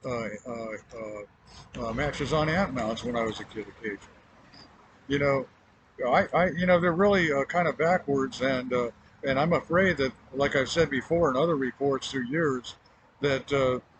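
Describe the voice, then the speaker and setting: A man's fairly high voice with an American accent, moderate pace and ordinary pitch variation, over noticeable background noise. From Miami, Florida. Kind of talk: spoken personal report to camera. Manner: hesitant, many filler pauses.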